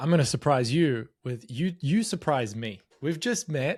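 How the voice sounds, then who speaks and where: With an Australian accent, a man speaks at a fairly quick pace and with lively intonation on a very clean recording with a silent background. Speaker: marketing data expert. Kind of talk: interview.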